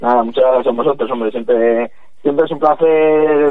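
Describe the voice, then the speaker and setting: With flat, monotone intonation, a man talks at a fairly quick pace in a fairly high pitch. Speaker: football club figure. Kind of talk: interview.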